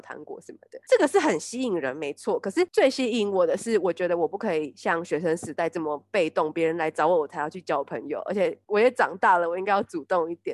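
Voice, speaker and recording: Her plain, everyday voice sits at a fairly low pitch for a woman, with lively intonation at a fairly quick pace and a dry, close sound with no echo. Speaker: podcast co-host. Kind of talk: casual chat.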